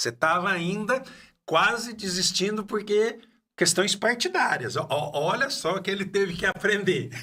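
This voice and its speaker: A man's raised, projected voice, high in pitch with ordinary pitch variation, at a moderate pace. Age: 60s. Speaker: podcast host. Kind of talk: casual interview chat. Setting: studio. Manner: halting.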